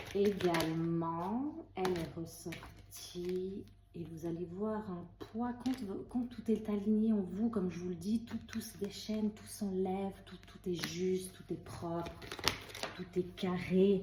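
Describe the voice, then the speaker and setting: A woman at medium pitch speaks at a very slow pace with fairly even intonation and big swings in loudness, over noticeable background noise. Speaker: tarot card reader. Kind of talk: spiritual card reading video. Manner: hesitant, many fillers and repetitions.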